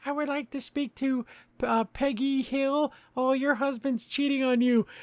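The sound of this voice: A high-pitched, put-on character voice at a moderate pace, in a very clean recording with a silent background.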